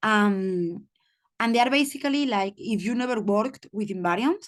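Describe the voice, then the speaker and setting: A normal speaking voice with lively intonation, delivered at a moderate pace against a quiet background. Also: woman. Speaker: mathematician, seminar speaker. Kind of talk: lecture.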